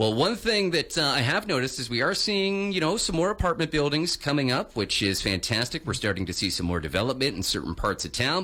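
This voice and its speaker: Speaking upbeat and fairly quickly, a man with a fairly high pitch swings his voice very widely, barely pausing, over noticeable background noise. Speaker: radio morning show host. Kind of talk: radio interview host.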